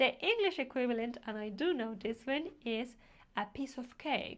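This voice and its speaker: A woman's high-pitched voice, fairly slow, with lively intonation. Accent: Spanish. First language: Spanish. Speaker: language teacher. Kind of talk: tutorial.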